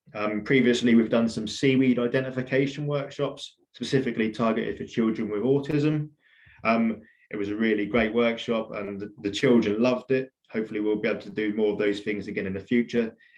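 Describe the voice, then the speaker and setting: A man talks at a fairly quick pace. His pitch sits in the medium range. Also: fairly even intonation. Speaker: environmental records centre staff giving a talk. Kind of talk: illustrated talk. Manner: fast.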